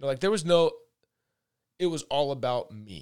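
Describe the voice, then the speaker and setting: With an American accent, a man speaks at a moderate pace and a fairly high pitch, using ordinary pitch variation. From US Pacific Northwest (Redmond, Washington). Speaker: karate instructor and former pro baseball pitcher. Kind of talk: casual interview. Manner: hesitant, many fillers and repeats.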